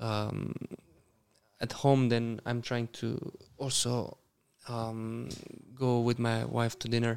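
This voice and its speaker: At a very slow pace, a man with a Romanian accent speaks in a dark, mellow tone at medium pitch. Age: 30s. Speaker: professional tennis player. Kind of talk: casual interview.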